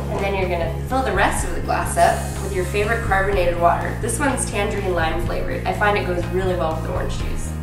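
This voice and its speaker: A woman talks at a very fast pace. There is audible room echo and clear music in the background. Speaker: home cooking show host. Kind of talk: tutorial. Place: kitchen. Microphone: camera far.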